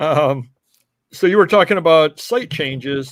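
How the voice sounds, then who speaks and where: On a very clean recording with a silent background, a man with an upstate New York accent speaks at a moderate pace with ordinary pitch variation. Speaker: reselling show host. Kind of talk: casual chat. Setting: live stream.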